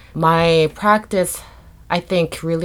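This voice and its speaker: A woman speaks with a Korean accent. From South Korea. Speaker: multidisciplinary artist. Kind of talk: interview.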